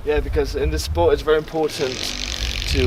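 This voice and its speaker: A man with a British accent talks over noticeable background noise. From England. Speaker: parkour athlete. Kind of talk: casual explanation. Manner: hesitant, many fillers.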